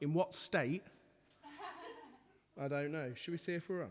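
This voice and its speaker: A man with an English accent at a fairly quick pace, with ordinary pitch variation. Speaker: musician, violinist and pianist. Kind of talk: casual live stream chat. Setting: live stream from home lounge. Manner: loud.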